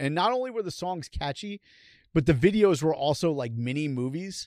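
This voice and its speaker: Recorded very cleanly with a silent background and a dry, close sound without echo, a man uses an ordinary speaking voice. His pitch is fairly high, his intonation lively, and his pace moderate. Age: 40s. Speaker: podcast co-host. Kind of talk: casual chat.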